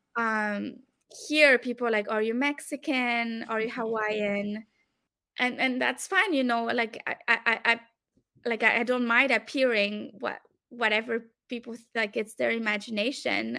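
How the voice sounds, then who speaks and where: A woman with a French accent, her voice bright, sharp and fairly high, at a fairly slow pace with fairly even intonation. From France and Belgium. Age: 30s. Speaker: academic researcher. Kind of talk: interview conversation.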